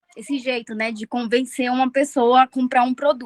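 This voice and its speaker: A woman with a high pitch speaks in fairly even intonation, her sound dry and close with no echo. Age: 20s. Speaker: nurse. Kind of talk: casual chat.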